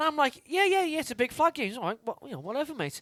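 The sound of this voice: Talking fast, a man uses an extremely high, fairly bright voice with big pitch swings.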